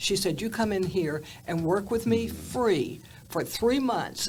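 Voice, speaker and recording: Audible room echo follows a woman speaking at a fairly slow pace. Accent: Southern US. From US South, Atlanta, Georgia. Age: 80s+. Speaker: TV journalist. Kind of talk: interview storytelling.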